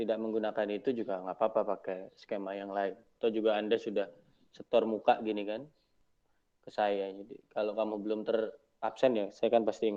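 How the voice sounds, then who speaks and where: Speaking at a fairly quick pace, a man holds a fairly low pitch in a monotone, flat intonation. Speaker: university lecturer. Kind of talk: online Q&A lecture session. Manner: quiet. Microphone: not using a microphone, voice a bit quiet.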